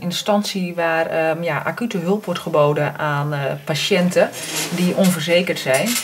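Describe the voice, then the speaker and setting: Light background noise behind a woman talking at a moderate pace, with ordinary pitch variation. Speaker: doctor. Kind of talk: phone call. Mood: calm, careful, concerned.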